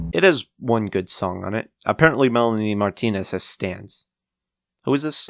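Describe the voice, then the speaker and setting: A man speaks with lively intonation. The sound is dry and close with no echo, and music plays in the background. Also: medium pitch for a man, moderate pace. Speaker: music reviewer. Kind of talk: scripted commentary.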